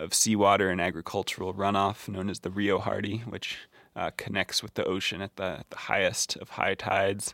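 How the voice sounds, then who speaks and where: Dry and close with no echo, the voice moves at a moderate pace in a monotone, flat intonation. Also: man, very clean recording, silent background. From Colorado. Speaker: journalist and author. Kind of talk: casual interview. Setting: outdoors on a back porch. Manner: hesitant with fillers.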